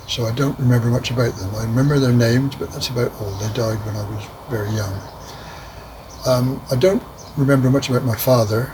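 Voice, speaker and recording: Noticeable background noise sits behind a man speaking at a medium pitch. His pitch varies in an ordinary way. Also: fairly quick pace. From southern England, Poole, Dorset. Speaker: elderly father recounting his life. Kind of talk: oral history interview, reminiscing. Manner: hesitant, many fillers.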